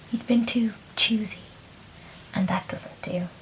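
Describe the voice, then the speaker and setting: A soft-spoken voice in an Irish accent at a moderate pace, against noticeable background noise. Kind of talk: bedtime story reading.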